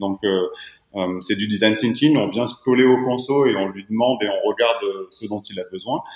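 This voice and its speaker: A man with an unremarkable speaking voice talks at a moderate pace in a medium pitch, with ordinary pitch variation. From southeastern France. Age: 30s. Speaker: footwear company founder. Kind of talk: podcast interview.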